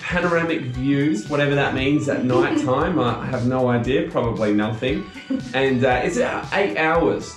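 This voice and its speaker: A man speaks at a moderate pace with ordinary pitch variation. Faint music plays in the background, and room echo is audible. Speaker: travel vlogger. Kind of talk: casual vlog chat. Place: home room. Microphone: camera far.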